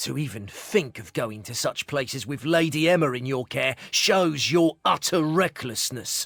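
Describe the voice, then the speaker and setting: A put-on character voice from a man, fairly high in pitch, at a moderate pace with hardly any pauses. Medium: video game. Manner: hesitant, throat-clearing.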